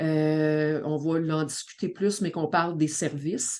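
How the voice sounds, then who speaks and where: Against a quiet background, a woman speaks with a Quebec accent. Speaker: community organization director and family coach. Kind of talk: podcast introduction.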